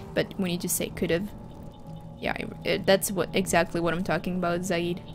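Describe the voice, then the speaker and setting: A woman speaks at a moderate pace with a fairly low pitch. Her intonation is monotone and flat, with music in the background. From Finland. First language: Finland Swedish. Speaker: gaming streamer. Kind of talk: casual live-stream chat. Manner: halting, many fillers and restarts.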